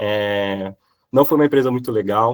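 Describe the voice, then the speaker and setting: The voice moves at a moderate pace with ordinary pitch variation, captured with a dry, close sound and no echo. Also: man. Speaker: software professional giving career talk. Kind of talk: online class talk with Q&A. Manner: hesitant, many fillers.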